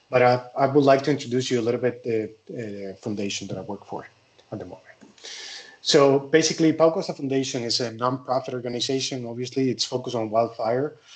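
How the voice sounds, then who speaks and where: Words pour out of a man at a very fast pace. He speaks with a Spanish accent. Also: medium pitch for a man, ordinary pitch variation, big swings in loudness. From Spain. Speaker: forestry engineer, wildfire specialist. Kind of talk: conference presentation. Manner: halting.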